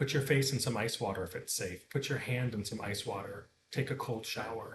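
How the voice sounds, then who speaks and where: Pitch variation is ordinary. It is a normal speaking voice. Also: man. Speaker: meditation teacher. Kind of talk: tutorial.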